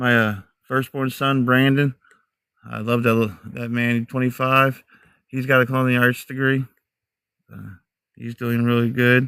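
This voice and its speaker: A man with an American accent, a bright, sharp tone and monotone, flat intonation, with long, frequent pauses in a dry, close sound with no echo. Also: medium pitch for a man, moderate pace, very clean recording, silent background. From mixed US (Army family; Texas to New Hampshire). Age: 40s. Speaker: outdoor live streamer, Bigfoot hunter. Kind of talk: casual live-stream chat.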